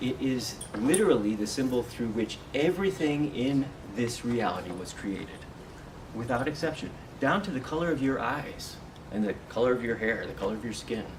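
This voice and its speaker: Through noticeable background noise and audible room echo, a soft-spoken man talks at a moderate pace and medium pitch with lively intonation. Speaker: meditation and spiritual workshop teacher. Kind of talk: talk to a live group. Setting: meeting room with audience.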